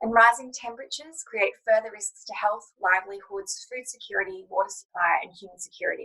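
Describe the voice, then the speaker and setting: A woman with an Australian accent speaks at a fairly high pitch in a bright, sharp tone. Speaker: lawyer and panel chair. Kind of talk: panel moderation, opening remarks. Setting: online panel.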